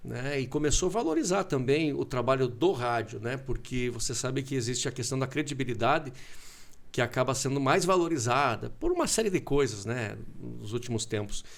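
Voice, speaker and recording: This man uses an ordinary speaking voice at a medium pitch, talking at a moderate pace with ordinary pitch variation. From southern Brazil (Concórdia, Santa Catarina). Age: 40s. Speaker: radio broadcaster. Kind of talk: casual interview chat. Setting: TV studio.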